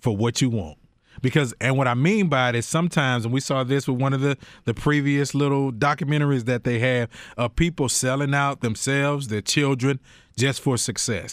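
At a fairly quick pace, a man with an unremarkable speaking voice talks at medium pitch, with ordinary pitch variation and very even loudness. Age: 40s. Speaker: podcast host. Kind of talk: casual chat.

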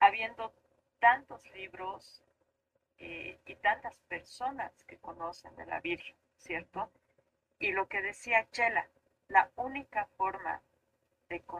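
A woman speaks very slowly with long, frequent pauses and big swings in loudness. Her tone is bright and sharp, and the sound is dry and close with no echo. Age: 40s. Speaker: architect. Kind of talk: casual chat.

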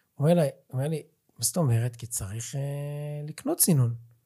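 Here a man talks in an animated tone at a fairly high pitch. His voice is somewhat breathy. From Israel, central region. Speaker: podcast host and lecturer. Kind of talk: interview.

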